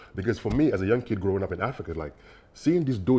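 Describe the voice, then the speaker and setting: A man's dark, mellow, somewhat breathy voice at a very fast pace, with very wide pitch swings, in a very clean recording with a silent background. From Senegal, Dakar. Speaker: bitcoin developer. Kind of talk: interview. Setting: podcast. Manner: hesitant, many fillers.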